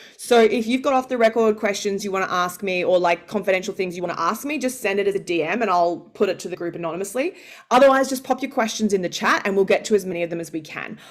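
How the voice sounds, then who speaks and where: A woman's medium-pitched voice with an Australian accent, racing along at a very fast pace with hardly any pauses. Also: ordinary pitch variation. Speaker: founder and pay negotiation coach. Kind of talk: live masterclass.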